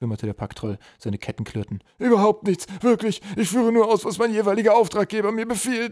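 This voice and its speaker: A man's menacing tone at a fairly quick pace, dry and close with no echo. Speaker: audiobook narrator. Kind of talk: dramatic audiobook narration, reading aloud. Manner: suspenseful, vividly expressive, shifting to gruff menacing tones for goblin characters.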